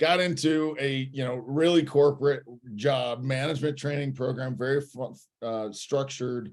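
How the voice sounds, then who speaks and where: This man talks with a Midwestern American accent. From Indiana. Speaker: franchise consultant. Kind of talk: podcast interview answer.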